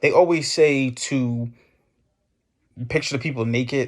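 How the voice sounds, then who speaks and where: In a very clean recording with a silent background, a man of medium pitch speaks with fairly even intonation. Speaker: business content creator. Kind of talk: casual talk to camera. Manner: uses filler words.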